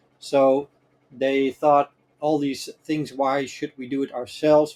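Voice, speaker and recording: Very slowly, a man speaks in a fairly high pitch with monotone, flat intonation. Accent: Dutch. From Netherlands. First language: Dutch. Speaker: cloud infrastructure expert. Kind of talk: interview. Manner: hesitant, many fillers.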